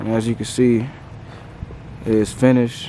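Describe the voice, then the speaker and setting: A man speaks at a medium pitch in a flat monotone. There is noticeable noise behind him. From US South, Nashville, Tennessee. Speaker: car wrapping entrepreneur, vlogger. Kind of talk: casual vlog. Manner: casual, slangy.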